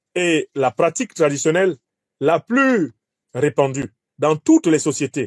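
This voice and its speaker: A man with a Cameroonian accent speaks at a fairly high pitch with lively intonation. The sound is dry and close with no echo, in a very clean recording with a silent background. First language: Bassa (speaking French). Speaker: professor and political commentator. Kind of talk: lecture.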